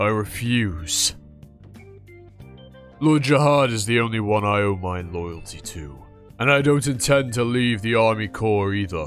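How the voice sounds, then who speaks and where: A man speaks at a medium pitch and a moderate pace, with lively intonation and long, frequent pauses. Clear music plays in the background. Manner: stern, loyal, blunt.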